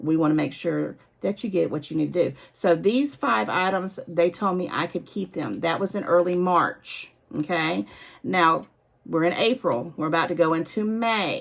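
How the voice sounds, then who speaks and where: A woman talks at a moderate pace with lively intonation and vocal fry. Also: fairly low pitch for a woman. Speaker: online shopping vlogger; shopping vlogger. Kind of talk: casual product-review vlog. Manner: off the cuff, unscripted. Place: home room. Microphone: phone near.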